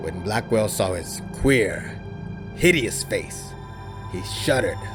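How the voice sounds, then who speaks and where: Music plays behind a man who speaks at a fairly slow pace. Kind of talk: horror story reading, audiobook narration.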